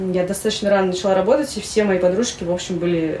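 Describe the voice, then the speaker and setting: With noticeable background noise behind her, a woman speaks at a very fast pace and medium pitch. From Russia, Saint Petersburg. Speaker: writer. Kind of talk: interview. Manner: halting.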